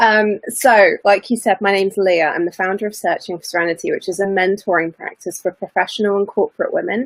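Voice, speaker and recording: In a British accent, a woman speaks at a fairly quick pace with a dry, close sound and no echo. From UK. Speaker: mentor, former lawyer. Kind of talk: interview.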